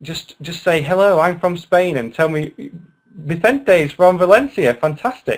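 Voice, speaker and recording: A man's high-pitched voice with lively intonation. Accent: British. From UK. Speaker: online English teacher. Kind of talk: webinar lecture. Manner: animated.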